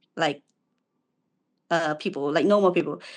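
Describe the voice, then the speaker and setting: A woman speaks with a Cambodian accent. The background is quiet. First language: Khmer. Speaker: university student and aspiring language teacher. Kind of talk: casual video call interview. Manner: hesitant.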